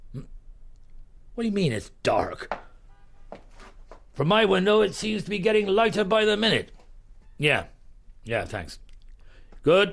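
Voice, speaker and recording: Putting on a raspy character voice, a man speaks at a high pitch and a fairly slow pace, with ordinary pitch variation and long, frequent pauses. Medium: audio drama. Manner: calm, measured, methodical.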